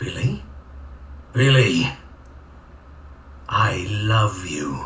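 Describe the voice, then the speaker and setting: Putting on a character voice, a man speaks in a raspy, fairly low pitch against clear background noise. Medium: game stream. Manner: halting, repetitive, unnatural delivery.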